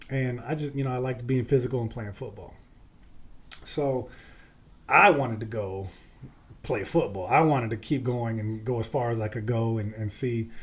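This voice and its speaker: A man with a medium pitch and a somewhat breathy voice speaks at a moderate pace with fairly even intonation, leaving long, frequent pauses. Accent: American. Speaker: former pro football player. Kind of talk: podcast interview.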